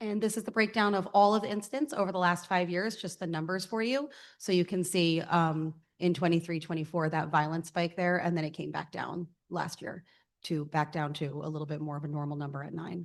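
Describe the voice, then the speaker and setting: A woman's fairly low voice with ordinary pitch variation, a fairly quick pace and a quiet background. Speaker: school district administrator. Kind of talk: presentation of report data. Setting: school board meeting. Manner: loud.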